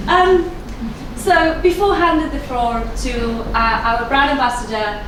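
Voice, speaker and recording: In a room with audible echo and noticeable background noise, a woman with a non-native accent speaks at a fairly slow pace in a high pitch with ordinary pitch variation. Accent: self-described dodgy foreign. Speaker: founder of the organising company, event host. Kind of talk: opening speech at event. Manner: hesitant, many fillers.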